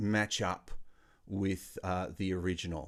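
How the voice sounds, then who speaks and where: A man talks at a very slow pace. He has an Australian accent. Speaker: music workshop leader. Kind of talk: online music tutorial.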